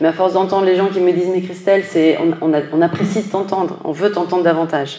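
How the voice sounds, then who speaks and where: Against noticeable background noise, a woman with a fairly low voice talks at a fairly quick pace. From northern France. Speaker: finance executive. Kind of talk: interview. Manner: hesitant, many fillers.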